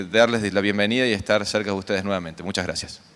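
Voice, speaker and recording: A man speaks with noticeable background noise. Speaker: conference coordinator, agronomist. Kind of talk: conference welcome speech.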